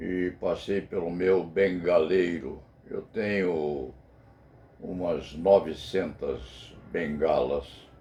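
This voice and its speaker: Very slow and very deep, this man's voice has vocal fry, a dark, mellow tone and ordinary pitch variation. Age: 80s+. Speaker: criminal lawyer and video commentator. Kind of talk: spoken personal commentary. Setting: law office. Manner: formal.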